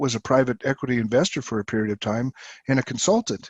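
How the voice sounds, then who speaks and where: This man has an unremarkable speaking voice, medium in pitch, with ordinary pitch variation. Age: 60s. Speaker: company CEO. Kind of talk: interview.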